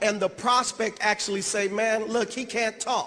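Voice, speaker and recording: Over noticeable background noise, a man speaks at a moderate pace with an animated tone. His pitch is high. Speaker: network marketing leader. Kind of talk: motivational speech. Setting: stage with audience.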